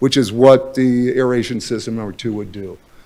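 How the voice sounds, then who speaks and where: The man talks at a moderate pace and a medium pitch. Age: 60s. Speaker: public commenter, boating advocate. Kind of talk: public comment at city council meeting. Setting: city council chamber. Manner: halting, many fillers.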